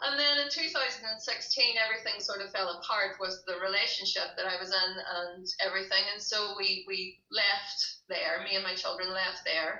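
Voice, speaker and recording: With a Derry accent, a woman speaks at a medium pitch with ordinary pitch variation. Her pace is moderate, with hardly any pauses. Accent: Northern Irish (Derry). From Northern Ireland, Derry. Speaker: glassblower and breastfeeding counsellor. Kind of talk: interview conversation.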